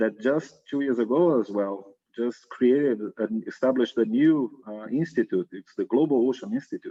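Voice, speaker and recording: A medium-pitched man with a strong Brazilian accent, talking at a moderate pace. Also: ordinary pitch variation. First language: Portuguese. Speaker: science diplomacy researcher, former government science manager. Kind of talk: interview.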